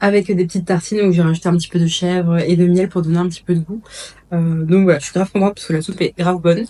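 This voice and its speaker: A woman's voice has a dark, mellow tone and a fairly low pitch. She talks very fast in a monotone, flat intonation. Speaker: lifestyle vlogger. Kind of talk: casual vlog. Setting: at home. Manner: hesitant; soft-spoken.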